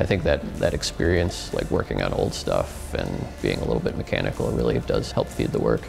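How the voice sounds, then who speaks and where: With clear music in the background, the words come at a fairly quick pace. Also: man. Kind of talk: interview answer. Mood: relaxed, enthusiastic. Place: studio.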